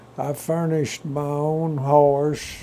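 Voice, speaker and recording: Someone with a West Texas accent speaks at a very slow pace in a monotone, flat delivery. The room echo is audible. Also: man. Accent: West Texas rural drawl. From Texas Panhandle. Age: 90s. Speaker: retired cowboy and rancher. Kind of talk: oral history interview.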